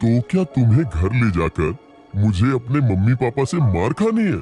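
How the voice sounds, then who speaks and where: Over clear music in the background, a man puts on a character voice at a medium pitch, moving at a moderate pace with very wide pitch swings. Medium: read story.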